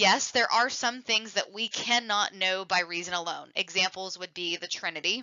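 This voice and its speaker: At a moderate pace and medium pitch, a woman talks with hardly any pauses and ordinary pitch variation. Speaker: theology teacher. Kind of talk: lecture. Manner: halting.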